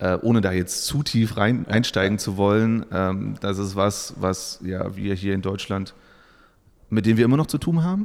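At a moderate pace, a man talks in a normal speaking voice, fairly low in pitch with ordinary pitch variation. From eastern Germany, Saxony-Anhalt. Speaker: employer branding consultant. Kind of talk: podcast interview.

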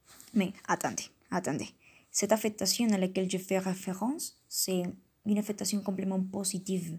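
A woman with a Colombian accent speaks at a moderate pace and medium pitch, somewhat breathy and with fairly even intonation, on a very clean recording with a silent background. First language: Spanish (speaking French). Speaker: language learner podcaster. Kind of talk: educational monologue. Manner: hesitant, with fillers.

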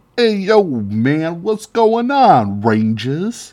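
At a very slow pace, a put-on character voice at a middle pitch moves through very wide pitch swings. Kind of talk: slangy, casual. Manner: casual, dude-like.

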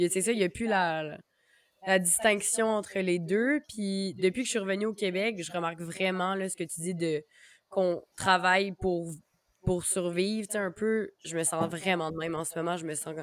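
A woman talks at a moderate pace in an ordinary speaking voice. Her pitch is medium and her intonation fairly even. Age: 20s. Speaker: podcast host. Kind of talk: casual chat.

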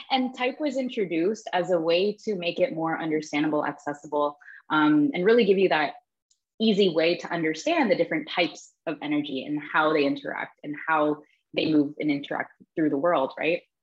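A woman with a Canadian accent and an ordinary speaking voice, fairly low in pitch, with lively intonation and a fairly quick pace. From Toronto, Canada. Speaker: human design teacher. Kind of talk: interview.

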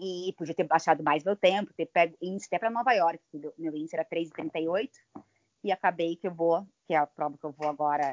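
Using a plain, everyday voice, a woman with fairly low pitch speaks at a moderate pace with ordinary pitch variation. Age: 40s. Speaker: amateur ultramarathon runner. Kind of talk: casual interview.

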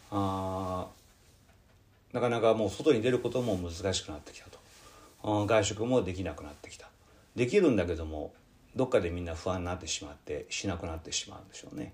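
A man with a fairly low, somewhat breathy voice moves at a fairly quick pace, with big swings in loudness and long, frequent pauses. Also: ordinary pitch variation. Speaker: Buddhist priest and podcast host. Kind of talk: casual radio talk. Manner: relaxed, rambling.

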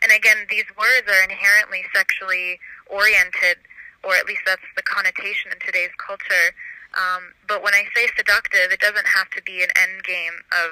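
Heard as a dry, close sound with no echo, a woman speaks at a moderate pace. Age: 20s. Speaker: wellness practitioner and cook. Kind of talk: interview. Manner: halting.

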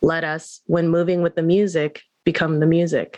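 A woman's fairly low-pitched voice, a normal speaking voice. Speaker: podcast co-host.

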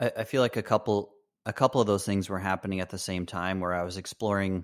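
A man with an American accent and a very deep, low pitch is heard in a very clean recording with a silent background. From Michigan. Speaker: ambient musician and photographer. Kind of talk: interview.

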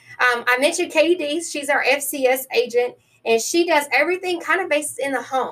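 A woman's raised, projected voice in a Tennessee accent, high-pitched with ordinary pitch variation, upbeat and energetic at a fairly quick pace. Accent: US Southern (Tennessee). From New Orleans, then western Tennessee. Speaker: county extension agent. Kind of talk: interview. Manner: upbeat, energetic.

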